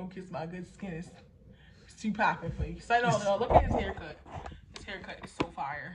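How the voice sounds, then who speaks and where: Against loud background noise, a woman talks at a moderate pace with long, frequent pauses. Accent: American. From Baltimore, Maryland. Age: 20s. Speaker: lifestyle vlogger. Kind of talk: casual vlog talk to camera. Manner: playful. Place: home room. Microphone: phone near.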